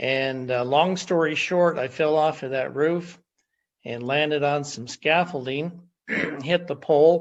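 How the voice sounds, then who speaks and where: A man speaks in an unremarkable speaking voice at a fairly high pitch. His pace is fairly slow and his intonation fairly even. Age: 60s. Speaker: testimonial guest. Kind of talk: testimony. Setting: video call.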